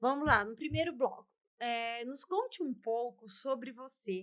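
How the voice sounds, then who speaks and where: Speaking at a fairly slow pace, a woman with a high pitch uses an animated tone and very wide pitch swings. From São Paulo, Brazil. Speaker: talk show host. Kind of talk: interview. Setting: studio.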